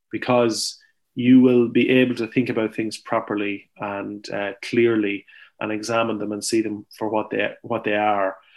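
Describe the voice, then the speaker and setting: A man with an Irish accent, medium pitch and a moderate pace, in a quiet background. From Ireland, County Longford. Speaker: farmer and author. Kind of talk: interview. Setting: remote call from farm.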